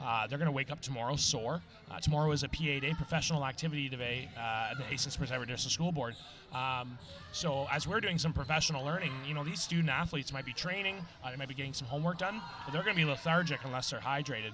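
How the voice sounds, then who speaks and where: A man with an Irish accent, fairly high-pitched, at a very fast pace with ordinary pitch variation, music in the background and audible room echo. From Ireland, Galway. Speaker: teacher and colour commentator. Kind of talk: live sports commentary. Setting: broadcast booth at school gym. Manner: animated.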